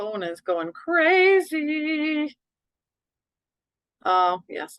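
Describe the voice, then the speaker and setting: A woman speaks loudly at a very slow pace with a high pitch, very wide pitch swings, and long, frequent pauses. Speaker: middle school teacher. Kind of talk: online parent meeting. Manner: casual, rambling.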